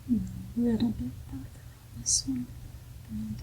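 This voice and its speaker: The woman here is soft-spoken. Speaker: mother. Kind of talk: ASMR, casual talk while doing puzzles.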